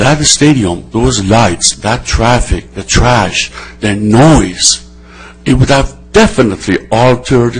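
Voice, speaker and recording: The intonation is lively and the pace fairly slow. Music plays in the background. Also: man. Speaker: city council member. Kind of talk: council meeting debate. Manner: loud; animated.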